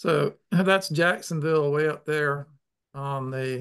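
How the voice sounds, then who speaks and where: A man's fairly high-pitched voice with ordinary pitch variation, a plain, everyday voice, against a quiet background. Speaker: river conservation advocate and webinar host; webinar host. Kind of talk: webinar hosting. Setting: video call. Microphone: video call.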